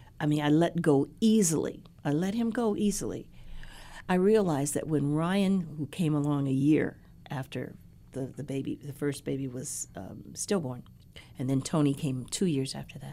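A woman speaks in a very deep, low voice with a Midwestern accent. Her tone is warm, dark and mellow. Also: moderate pace. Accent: general American, Midwestern. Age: 60s. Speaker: university president's wife, educator. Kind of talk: casual interview conversation. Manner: warm, laughs often.

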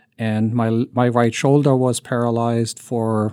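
Recorded very cleanly against a silent background, a man with a German accent and a medium-pitched voice speaks very slowly with fairly even intonation. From Germany. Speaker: journalism professor and cancer survivor. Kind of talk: interview testimony.

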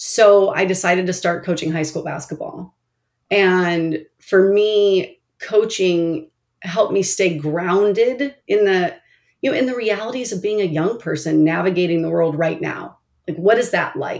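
An unremarkable speaking voice from a woman with an American accent, medium in pitch, fairly slow, with ordinary pitch variation. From Oregon, US. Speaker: nonprofit CEO. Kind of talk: interview.

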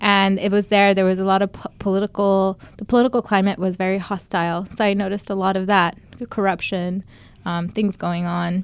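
A woman's medium-pitched voice in an American accent, monotone and flat, at a moderate pace on a very clean recording with a silent background. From Utah, US, raised by Bangladeshi family. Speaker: journalist and filmmaker. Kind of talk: interview.

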